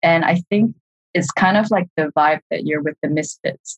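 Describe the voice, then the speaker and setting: Speaking at a moderate pace, a woman with a fairly low, somewhat breathy voice uses ordinary pitch variation in a dry, close sound with no echo. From Singapore. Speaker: art director. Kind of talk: interview.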